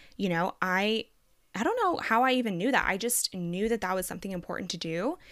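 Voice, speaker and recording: A woman with a normal speaking voice talks at a fairly quick pace, medium in pitch with ordinary pitch variation. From Texas, US (born in Colombia, moved at five). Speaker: podcast co-host. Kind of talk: casual interview chat.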